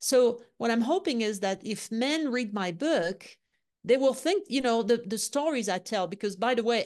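Against a quiet background, a woman talks at a fairly quick pace with lively intonation and a fairly high pitch. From France, Lyon. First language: French. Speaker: leadership consultant. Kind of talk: interview.

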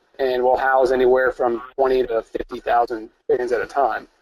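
Someone with an American accent speaks at a moderate pace. The sound is dry and close, with no echo. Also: man. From upstate New York. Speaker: farmer. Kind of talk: webinar interview.

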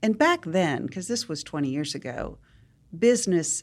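In an American accent, a woman speaks with lively intonation. The recording is very clean and the background silent. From West Virginia, US. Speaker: nonprofit leader and entrepreneur. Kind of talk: interview.

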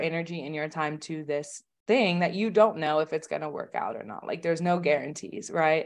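A plain, everyday voice from a woman with an American accent, fairly low in pitch with ordinary pitch variation, at a moderate pace over a quiet background. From Oklahoma, US. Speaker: online business manager. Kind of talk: interview.

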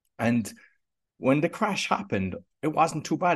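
A man speaks with a Cork accent and very wide pitch swings. The background is quiet. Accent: Cork Irish. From Ireland, Cork. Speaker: podcast coach. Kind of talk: interview conversation.

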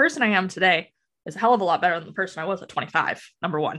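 A woman with a Canadian accent at a very fast pace and lively intonation, against a quiet background. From Western Canada, Alberta. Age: 30s. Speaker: real estate agent, former youth worker. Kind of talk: casual interview chat.

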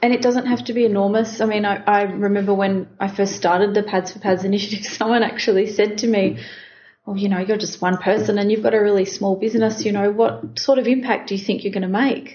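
She talks at a very fast pace in a medium pitch. Her voice is somewhat breathy, with fairly even intonation. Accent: Australian. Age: 30s. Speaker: business founder. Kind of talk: interview. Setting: company office.

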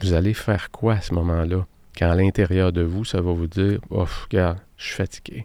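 A man's very deep, low voice with a dark, mellow tone, a Quebec accent, monotone flat intonation and a moderate pace, on a very clean recording with a silent background. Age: 50s. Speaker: productivity coach and podcast host. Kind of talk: solo podcast monologue.

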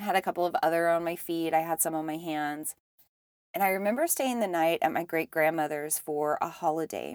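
With a normal speaking voice at a fairly low pitch, a woman talks fairly quickly with ordinary pitch variation on a very clean recording with a silent background. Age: 30s. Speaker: spiritual podcast host. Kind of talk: solo monologue.

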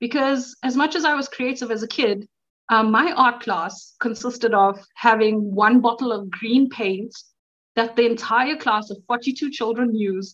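A woman's excited tone, fairly slow and fairly high-pitched, with ordinary pitch variation

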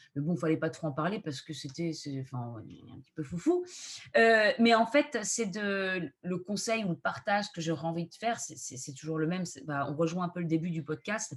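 A somewhat breathy woman with a fairly low pitch speaks at a moderate pace, her intonation lively and her loudness swinging widely. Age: 30s. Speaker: astrologer and video creator. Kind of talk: casual interview.

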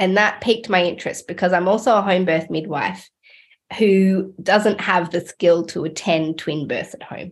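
Speaking with an Australian accent at a moderate pace, a woman keeps a medium pitch and fairly even intonation while her loudness swings widely. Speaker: midwife podcast host. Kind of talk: podcast interview.

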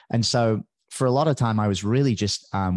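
Over a quiet background, a man speaks in a fairly low pitch with ordinary pitch variation. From northern England. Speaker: podcast coach. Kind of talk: interview.

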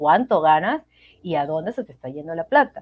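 A woman's voice swings very widely in pitch, recorded dry and close with no echo against a quiet background. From Venezuela. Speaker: medical doctor. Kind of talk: interview.

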